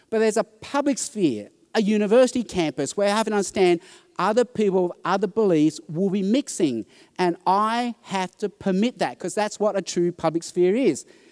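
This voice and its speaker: A man with an Australian accent speaks at a moderate pace in a high voice with ordinary pitch variation, recorded very cleanly with a dry, close sound, no echo and a silent background. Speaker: preacher. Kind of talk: conference talk.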